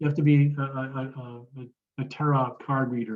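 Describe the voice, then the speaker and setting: This is a man talking. His pitch is medium. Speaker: construction consultant. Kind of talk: lecture. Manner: fast; halting, many fillers.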